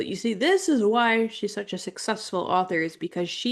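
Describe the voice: Someone does plain reading aloud, the pitch varying in an ordinary way.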